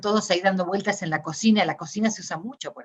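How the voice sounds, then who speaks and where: Her pitch varies in an ordinary way. This woman's voice sits at a medium pitch. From Argentina. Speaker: academic discourse analyst. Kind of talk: interview conversation. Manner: hesitant, many fillers.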